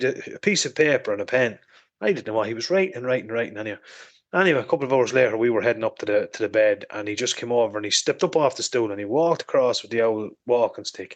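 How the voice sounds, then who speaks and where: The speaker has an Irish accent and lively intonation. The delivery comes at a very fast pace. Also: man. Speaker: motorcycle podcast host. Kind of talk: casual chat.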